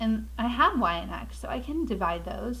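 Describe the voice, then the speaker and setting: A woman's fairly slow speech picks up audible room echo, and noticeable background noise is present too. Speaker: math teacher. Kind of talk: tutorial.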